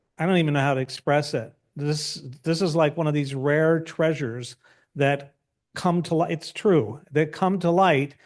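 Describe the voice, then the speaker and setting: With a plain, everyday voice, a man at a fairly high pitch talks at a moderate pace with fairly even intonation and very even loudness against a quiet background. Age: 60s. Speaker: magazine editor and publisher. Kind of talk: panel discussion.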